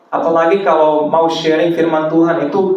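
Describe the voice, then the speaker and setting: Through noticeable background noise and audible room echo, a man speaks with a fairly high pitch. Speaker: preacher. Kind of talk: sermon. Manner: halting, self-correcting.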